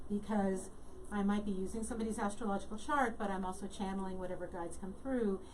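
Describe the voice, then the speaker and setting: A woman at medium pitch speaks very fast with fairly even intonation. Audible room echo and noticeable background noise fill the recording. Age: 60s. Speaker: talk show host and astrologer. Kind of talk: interview.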